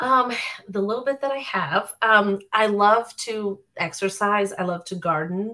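A woman speaks in an American accent at a medium pitch, with a bright, sharp tone. Her pace is fairly slow and her pitch varies an ordinary amount. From Florida (Orlando area). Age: 40s. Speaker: personal trainer and nutrition student. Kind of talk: casual interview.

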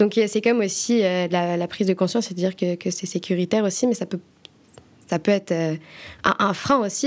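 With a plain, everyday voice, a woman speaks at a moderate pace and medium pitch with fairly even intonation. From France. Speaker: podcast host. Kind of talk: interview.

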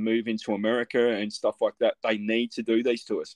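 A man talks at a moderate pace. The sound is dry and close, without echo. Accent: Australian. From Australia. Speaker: podcast host. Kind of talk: casual interview.

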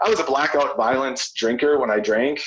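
Noticeable background noise accompanies a man speaking in an American accent. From west central Minnesota. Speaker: recovering addict, outdoor recovery program leader. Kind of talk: casual interview, personal testimony.

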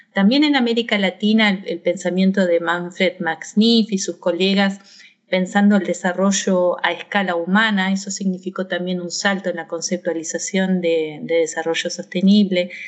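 A woman talks at a moderate pace in a normal speaking voice, with fairly even intonation. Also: medium pitch for a woman. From Argentina. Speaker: university professor. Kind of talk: interview.

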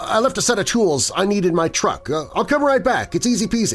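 Over music in the background, a man puts on a strained character voice, high-pitched with lively intonation. He talks at a fairly quick pace at a very even loudness. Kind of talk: through clenched teeth. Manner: strained, pained.

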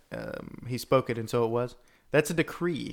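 A man's normal speaking voice at a medium pitch and a moderate pace. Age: 30s. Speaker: podcast host. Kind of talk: casual theological discussion.

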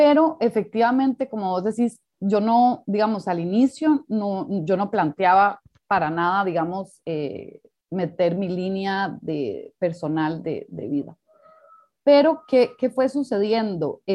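Very slowly, a woman speaks at a medium pitch with very wide pitch swings. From Costa Rica. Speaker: documentary filmmaker and anthropologist. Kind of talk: interview conversation.

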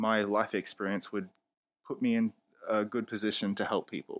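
In a very clean recording with a silent background, a man with an Australian accent talks at a moderate pace in a dry, close sound with no echo. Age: 20s. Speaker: podcast host. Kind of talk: solo opinion podcast. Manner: casual, opinionated.

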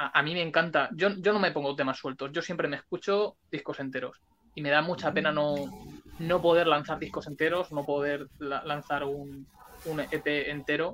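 Keeping fairly even intonation, a man with a fairly high pitch speaks at a moderate pace. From Spain (Alicante). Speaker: punk rock musician. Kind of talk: interview. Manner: talkative.

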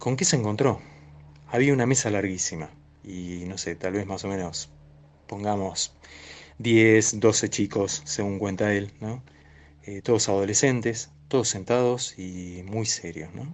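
At a fairly slow pace with long, frequent pauses, a man speaks in a fairly low voice, his pitch varying in an ordinary way as his loudness swings widely. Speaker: science fiction historian. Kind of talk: interview. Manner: hesitant, with many fillers.

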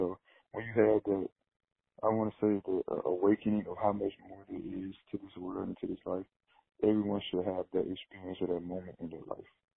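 Speaking with an American accent at a fairly quick pace, a man shows big swings in loudness. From small town in eastern Alabama, US South. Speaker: professional basketball player and media company founder. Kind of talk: casual interview.

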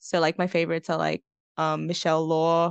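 A woman with an Australian accent speaks fairly quickly at a fairly low pitch. The sound is dry and close with no echo, over a quiet background. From Melbourne, western suburbs. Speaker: university student and writer. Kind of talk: casual interview chat.

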